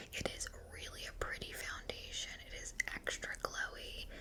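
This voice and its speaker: A woman speaks over noticeable background noise. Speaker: ASMR creator. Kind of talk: casual talk to camera, beauty product review. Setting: home recording with a microphone. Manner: soft-spoken, chatty.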